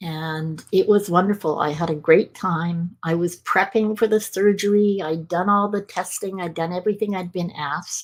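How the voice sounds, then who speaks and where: Using an ordinary speaking voice, a woman talks at a fairly slow pace and fairly low pitch with fairly even intonation. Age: 60s. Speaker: motivational speaker and author. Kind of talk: personal testimony in interview.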